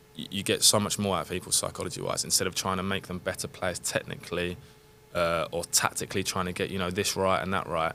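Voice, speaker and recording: A man talks very fast in a London accent, his pitch very deep and low. His tone is bright and sharp, with monotone, flat intonation. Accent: southern English (London). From England, London area. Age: 30s. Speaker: professional footballer. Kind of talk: casual podcast interview. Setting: studio.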